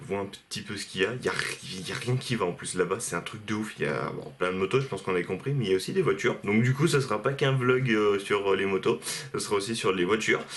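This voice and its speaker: Noticeable background noise behind a man, his pitch variation ordinary. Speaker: vlogger. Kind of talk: casual vlog.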